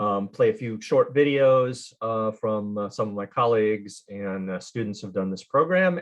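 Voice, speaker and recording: This man has an unremarkable speaking voice with an American accent and medium pitch. He keeps a moderate pace with ordinary pitch variation. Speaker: study abroad program representative. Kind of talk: virtual info session presentation. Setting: video call. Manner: casual, many fillers.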